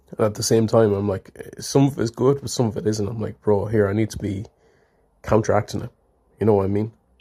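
In an Irish accent, a man speaks at a fairly low pitch and a fairly quick pace. His voice is somewhat breathy, with a dark, mellow tone. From Ireland. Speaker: listener call-in participant. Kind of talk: casual chat.

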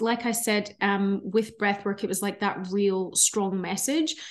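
Someone speaks at a fairly slow pace in a Scottish accent against a quiet background. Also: woman. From Scotland. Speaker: breathwork facilitator. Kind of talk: casual interview chat.

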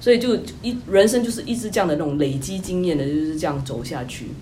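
There is audible room echo and noticeable background noise. A woman talks through both. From Singapore. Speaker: tech company employee, former consultant. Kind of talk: interview.

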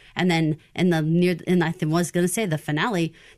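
Here is a woman with a normal speaking voice. She has a fairly low pitch and keeps a moderate pace. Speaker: podcast co-host. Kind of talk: casual podcast discussion.

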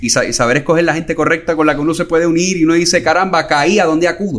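A man talking at a very fast pace. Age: 40s. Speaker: financial retirement planner. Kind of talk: interview conversation.

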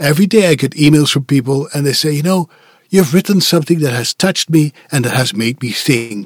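Fairly high-pitched, a man talks quickly with a Dutch accent and lively intonation. The sound is dry and close, with no echo. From Netherlands. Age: 50s. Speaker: voice actor. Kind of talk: interview. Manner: outspoken.

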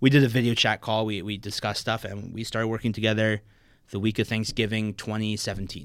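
Very fast and monotone, a man with a fairly low pitch talks on a very clean recording with a silent background. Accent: American. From New Jersey (Maplewood). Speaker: competitive powerlifter. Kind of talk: casual chat.

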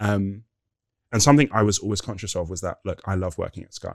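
On a very clean recording with a silent background, a man speaks in a London accent at a fairly low pitch. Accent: British English, London. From England. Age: 30s. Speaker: former corporate senior leader. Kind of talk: casual interview chat.

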